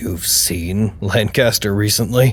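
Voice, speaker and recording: In a raspy, put-on character voice with a fairly low pitch, a man talks at a fairly slow pace over clear background noise. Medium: audio drama.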